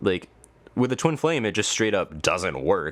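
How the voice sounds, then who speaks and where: A man with ordinary pitch variation in a very clean recording with a silent background. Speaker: tarot reader. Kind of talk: tarot reading to camera. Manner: fast; animated.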